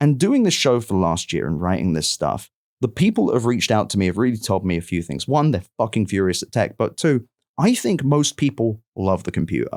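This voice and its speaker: The voice moves at a fairly quick pace with very wide pitch swings, captured in a very clean recording with a silent background. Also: man, medium pitch for a man. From London, England. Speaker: tech journalist and podcast host. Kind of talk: casual interview conversation. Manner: animated, emphatic.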